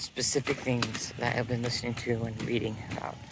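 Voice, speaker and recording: A man mumbles at a fairly slow pace. Noticeable background noise runs under his voice. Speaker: dancer and vlogger. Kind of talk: casual vlog monologue. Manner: mumbling, halting with fillers.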